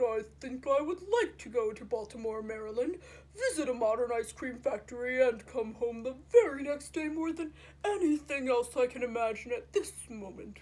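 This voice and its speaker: A woman's put-on character voice, high-pitched, at a moderate pace. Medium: read story. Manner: polite, formal, unhurried.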